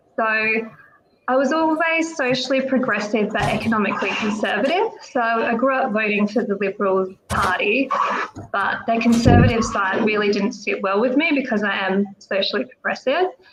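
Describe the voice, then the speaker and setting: A woman speaks with an Australian accent at a moderate pace and a fairly high pitch. Noticeable background noise is present. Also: ordinary pitch variation. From South Australia, regional area. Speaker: political candidate. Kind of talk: podcast interview. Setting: live online show.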